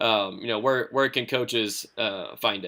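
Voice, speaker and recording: A man's voice is heard. The tone comes across bright and sharp. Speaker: podcast host, strength coach. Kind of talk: interview. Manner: monotone.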